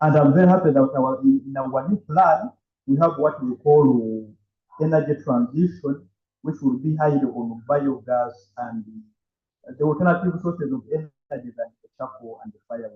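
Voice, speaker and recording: A man's fairly high, somewhat breathy voice with ordinary pitch variation and big swings in loudness. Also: moderate pace. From Uganda. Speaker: panelist representing an organization. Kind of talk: panel discussion.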